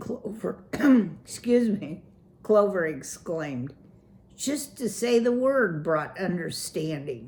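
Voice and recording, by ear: The pitch moves in a lively way. It is a passage read aloud in a natural voice.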